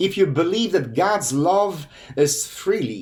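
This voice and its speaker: Speaking with a Polish accent, the man swings his pitch very widely. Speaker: pastor and hospice chaplain. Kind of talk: sermon; channel outro.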